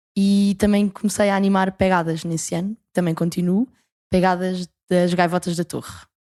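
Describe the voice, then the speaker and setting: A woman with a dark, mellow tone and medium pitch speaks in a monotone, flat intonation at a moderate pace, in a very clean recording with a silent background and a dry, close sound with no echo. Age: 20s. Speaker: university student and camp leader. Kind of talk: podcast interview.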